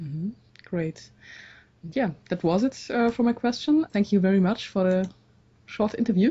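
A woman speaks at medium pitch with a German accent, somewhat breathy, with lively intonation. Her moderate pace is broken by long, frequent pauses. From Dresden, East Germany. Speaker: interviewer. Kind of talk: interview. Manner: halting.

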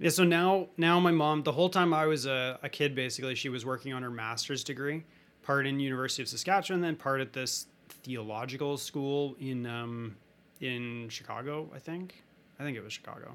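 A man with a Canadian accent at a fairly high pitch with ordinary variation, speaking at a fairly quick pace on a very clean recording with a silent background. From Western Canada. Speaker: student podcast host. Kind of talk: casual interview. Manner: animated.

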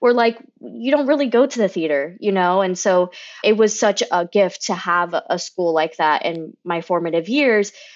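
A woman with an American accent has a normal speaking voice at medium pitch. She talks at a moderate pace with lively intonation. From Florida, US (Kissimmee), Cuban American family. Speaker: theater director. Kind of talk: casual interview.

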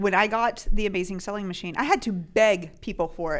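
This woman speaks with an American accent. Her pitch is medium. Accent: slight Southern drawl at times. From US South (Tennessee). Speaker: Amazon seller and podcast co-host. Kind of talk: casual chat.

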